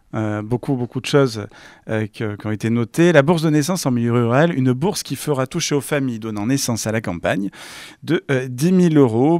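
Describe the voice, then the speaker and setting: Recorded very clean with a silent background and a dry, close sound with no echo, a man speaks at a fairly quick pace in a normal speaking voice with ordinary pitch variation. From France, Var (Provence). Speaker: interviewer. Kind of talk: political interview.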